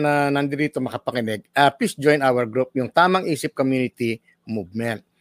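Speaking with ordinary pitch variation and a fairly high pitch, a man keeps a moderate pace. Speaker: physician. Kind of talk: casual panel discussion. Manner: animated.

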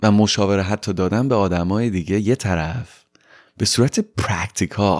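A man with a fairly low pitch speaks at a moderate pace with ordinary pitch variation and very even loudness. The recording is very clean, with a silent background. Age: 20s. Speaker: podcast host. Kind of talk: personal storytelling monologue. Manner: casual, mixing Persian and English.

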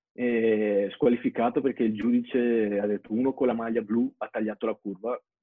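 Speaking at a fairly quick pace, the man keeps a medium pitch and a monotone, flat intonation. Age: 20s. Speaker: BMX athlete. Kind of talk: interview.

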